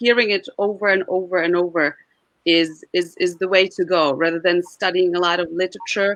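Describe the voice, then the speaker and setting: Here a woman at medium pitch talks at a moderate pace with a Czech accent. Her intonation is fairly even and her loudness very even. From Czech Republic. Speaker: Czech diction coach. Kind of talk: interview. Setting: live stream.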